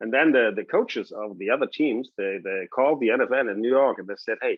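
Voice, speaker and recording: With a German accent, a man speaks at a fairly quick pace and with lively intonation. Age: 60s. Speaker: TV sports host and former quarterback. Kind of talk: casual interview chat.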